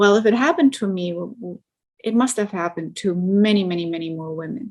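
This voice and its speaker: With a German accent, a woman speaks fairly quickly in a medium pitch with ordinary pitch variation, in a very clean recording with a silent background. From East Germany. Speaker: truck driver. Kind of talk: interview.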